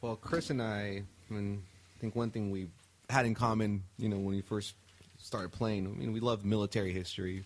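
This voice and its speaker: The speaker is a man with a Spanish accent. His pitch is fairly low. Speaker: rock band musician. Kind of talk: casual chat.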